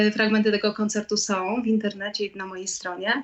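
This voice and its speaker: There is noticeable noise in the background. The speech holds fairly even intonation. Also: woman. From Poland, Lublin. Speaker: singer-songwriter. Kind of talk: radio interview.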